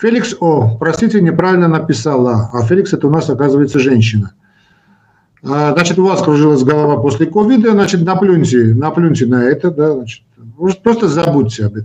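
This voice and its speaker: With a dark, mellow tone and fairly high pitch, a man speaks at a fairly quick pace with lively intonation. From Armenia, Yerevan. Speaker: cardiologist, medical professor. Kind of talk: live stream Q&A. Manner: animated.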